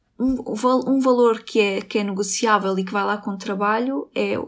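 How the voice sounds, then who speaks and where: In a very clean recording with a silent background, a woman with a plain, everyday voice talks at a moderate pace in a fairly high pitch with fairly even intonation. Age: 20s. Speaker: university student, Roma community member. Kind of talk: interview testimony.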